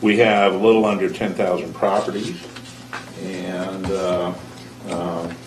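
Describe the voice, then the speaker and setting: A man speaks in a very deep, low voice at a fairly slow pace, monotone and flat, with long, frequent pauses. Noticeable background noise and audible room echo come through. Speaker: school board member. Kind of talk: public meeting speech. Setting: board meeting room. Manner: halting, many fillers.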